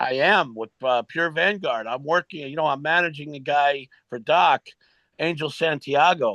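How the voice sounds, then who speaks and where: A plain, everyday voice from a man, fairly high-pitched with ordinary pitch variation, at a moderate pace, with a dry, close sound with no echo and a quiet background. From New York. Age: 60s. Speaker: retired pro wrestler. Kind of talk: interview storytelling. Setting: podcast interview.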